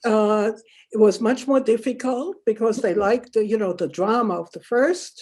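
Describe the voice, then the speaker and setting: Speaking fairly slowly in a German accent, a woman uses a fairly high pitch, a dark, mellow tone and lively intonation. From Germany, Württemberg. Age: 80s+. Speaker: Holocaust survivor and author. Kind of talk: interview. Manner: halting.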